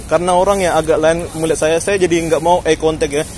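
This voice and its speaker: Talking fairly quickly with a fairly high pitch and fairly even intonation, a man is heard over noticeable background noise. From Jakarta, raised partly in a village. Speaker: vlogger. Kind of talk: walking vlog commentary. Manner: casual, conversational.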